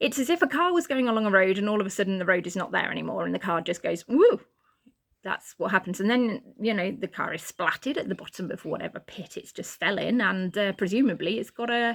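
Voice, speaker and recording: With lively intonation, a woman speaks at a very fast pace. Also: medium pitch for a woman. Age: 40s. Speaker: vlogger. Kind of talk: personal vlog monologue. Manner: halting, frequent restarts and fillers; stutters and blocks at times.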